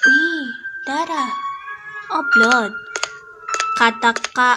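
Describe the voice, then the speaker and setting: Over music in the background, a woman with a high pitch and a raised, projected voice speaks at a very slow pace with lively intonation. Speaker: gaming youtuber. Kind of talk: let's play commentary. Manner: animated.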